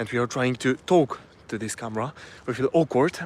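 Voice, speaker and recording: This man speaks with a Polish accent at a medium pitch. His pace is moderate. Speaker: self-improvement vlogger. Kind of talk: live stream talk to camera. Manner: halting, with many fillers and restarts.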